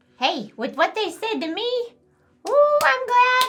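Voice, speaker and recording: A squeaky, put-on character voice at an extremely high pitch, fairly slow in pace, with very wide pitch swings. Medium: actual play. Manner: playful, cocky.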